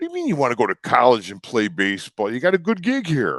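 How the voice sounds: Doing a put-on character voice in a strong Chicago accent, a man talks at a very fast pace. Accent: heavy Chicago.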